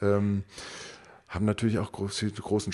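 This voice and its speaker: The man's voice has a dark, mellow tone and sits at a fairly low pitch. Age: 30s. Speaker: pastor. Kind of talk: interview. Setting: parish community centre.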